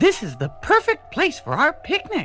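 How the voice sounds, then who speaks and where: A put-on character voice with an extremely high pitch moves at a moderate pace over clear music in the background. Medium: read story.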